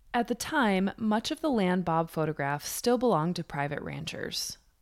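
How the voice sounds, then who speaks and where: A woman with an American accent has a normal speaking voice at a medium pitch and moderate pace. Her intonation is lively, and the recording is very clean with a silent background. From New York. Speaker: podcast host. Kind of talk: scripted narration.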